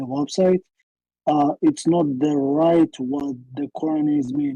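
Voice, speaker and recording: In a non-native accent, a woman speaks at a very slow pace with a very deep, low pitch, ordinary pitch variation and a dark, mellow tone, the sound dry and close with no echo. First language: Arabic. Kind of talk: debate. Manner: halting.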